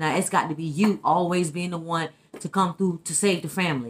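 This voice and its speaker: A fairly quick pace from a woman's voice. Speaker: vlogger giving relationship opinions. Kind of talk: casual vlog chat. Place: kitchen. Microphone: phone near.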